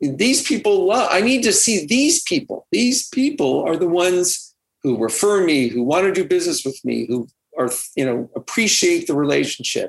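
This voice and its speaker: A man with an American accent, at a moderate pace and very even loudness. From California. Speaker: realtor and author. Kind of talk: interview.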